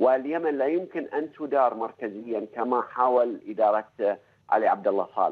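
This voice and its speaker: Over a quiet background, a man talks fairly slowly with hardly any pauses. His medium pitch shows ordinary variation. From Bahrain. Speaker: journalist. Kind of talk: radio panel debate. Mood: serious, argumentative. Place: studio.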